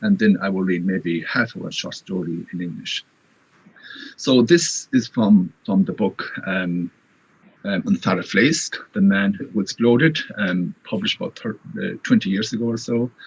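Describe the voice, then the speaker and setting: A man with a Connacht accent speaks at a moderate pace. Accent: Irish (Connacht). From Ireland, Irish-speaking west (Galway area). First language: Irish. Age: 50s. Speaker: writer. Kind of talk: interview.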